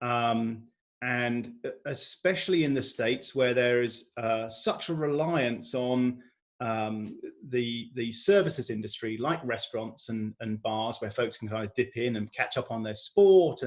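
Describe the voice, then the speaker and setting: This man's voice sits at a medium pitch with ordinary pitch variation. He speaks at a fairly slow pace. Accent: American. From United Kingdom. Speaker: energy broker executive. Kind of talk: interview. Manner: halting, many fillers and repeats.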